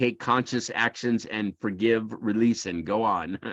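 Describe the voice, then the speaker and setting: A man with an American accent talks at a fairly slow pace in a normal speaking voice, his intonation fairly even. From USA. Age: 60s. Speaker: emotional intelligence teacher. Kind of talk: lecture. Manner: casual, conversational with many fillers.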